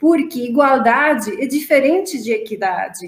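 A woman's high-pitched voice in a Romanian accent, fairly slow, with lively intonation. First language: Romanian (speaking Portuguese). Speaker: marketing executive. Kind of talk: panel discussion. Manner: halting.

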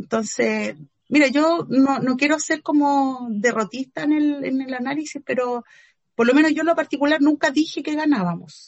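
The speaker talks with a Chilean accent at a moderate pace. Pitch varies in an ordinary way. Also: woman, high pitch for a woman. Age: 40s. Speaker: feminist activist and philosopher. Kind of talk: interview.

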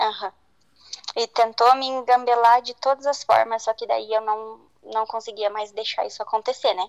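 A woman speaks in a plain, everyday voice at a moderate pace, her fairly high pitch held in fairly even intonation, with a dry, close sound and no echo. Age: 20s. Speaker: guest sharing a personal story. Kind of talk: testimony.

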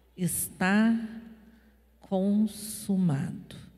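This woman speaks at a very slow pace, at medium pitch with ordinary pitch variation. Her voice is somewhat breathy. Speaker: pastor. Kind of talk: sermon.

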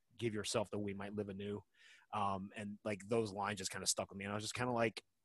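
An unforced reading voice carries the clip.

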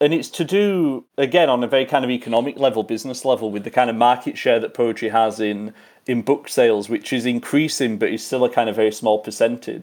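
With an English accent, a man speaks at a very fast pace with hardly any pauses, a medium pitch and ordinary pitch variation. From western England. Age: 30s. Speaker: poet and lecturer. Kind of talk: interview.

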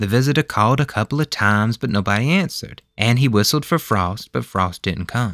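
A man with a Southern US accent speaks in a medium pitch with a warm tone, the sound dry and close with no echo and the recording very clean against a silent background. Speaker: podcast host and storyteller. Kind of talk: bedtime ghost story reading aloud, narrated folk tale. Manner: folksy, warm, storytelling cadence with Southern dialect; measured and gentle, building suspense.

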